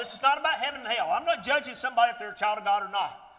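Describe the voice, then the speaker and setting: The voice moves at a very fast pace with very wide pitch swings. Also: man. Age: 50s. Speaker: preacher. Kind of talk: sermon. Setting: church.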